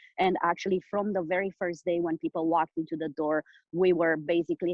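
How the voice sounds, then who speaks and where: With a Romanian accent, a woman speaks at a moderate pace in a fairly low pitch and a monotone, flat intonation. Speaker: business owner. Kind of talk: interview. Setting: call. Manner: halting, many fillers.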